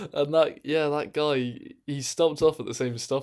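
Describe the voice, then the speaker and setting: A man with an English accent at a fairly quick pace, on a very clean recording with a silent background. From England. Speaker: streamer. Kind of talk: casual chat. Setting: live stream in own room. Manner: animated.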